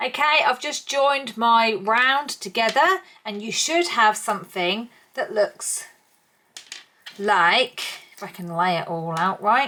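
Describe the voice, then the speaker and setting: A woman with an East Anglian accent, very slow pace, fairly high pitch, very wide pitch swings, and long, frequent pauses. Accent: English (East Anglia). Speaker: crochet tutor. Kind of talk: tutorial. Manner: casual, chatty.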